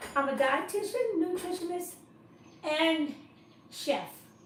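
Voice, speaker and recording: Noticeable noise sits in the background. A woman talks with ordinary pitch variation. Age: 70s. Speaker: dietitian and chef teaching cooking classes. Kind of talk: live-stream introduction talk. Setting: live online stream. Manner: casual, hesitant with fillers.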